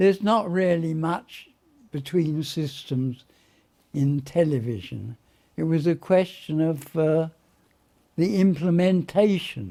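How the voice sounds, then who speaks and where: Speaking very slowly with long, frequent pauses, a man has a fairly high pitch, a dark, mellow tone, and ordinary pitch variation. The recording is very clean, with a silent background. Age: 80s+. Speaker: retired engineer. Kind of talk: interview. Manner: halting.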